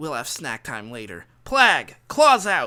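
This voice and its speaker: Raising and projecting a put-on character voice, a man speaks high for a man at a fairly slow pace. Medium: read story. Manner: joking, jaunty.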